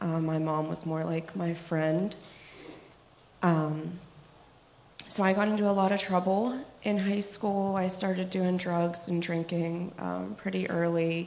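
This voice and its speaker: With an American accent, a woman speaks at a fairly slow pace with a fairly low pitch and fairly even intonation, pausing long and often amid noticeable background noise and audible room echo. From Pittsburgh, US. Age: 20s. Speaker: recovering addict giving testimony. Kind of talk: testimony. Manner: hesitant, many fillers.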